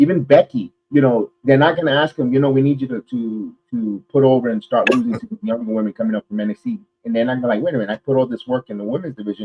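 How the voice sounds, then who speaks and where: Very fast, animated male delivery with a New York accent, medium pitch and ordinary pitch variation. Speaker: wrestling podcast host. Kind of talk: casual chat.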